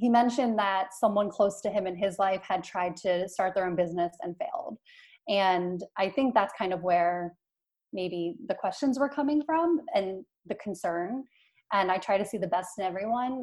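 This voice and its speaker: Speaking with an American accent, a woman has an unremarkable speaking voice at a medium pitch, with ordinary pitch variation and a moderate pace. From Philadelphia. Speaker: entrepreneur. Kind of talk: interview.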